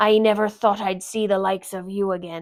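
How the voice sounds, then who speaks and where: In a put-on character voice, the speaker moves at a moderate pace with monotone, flat intonation. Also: woman. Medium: read story. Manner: sly, rough sailor talk.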